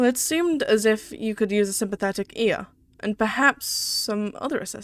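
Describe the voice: The delivery is plain reading aloud, and its pitch varies in an ordinary way.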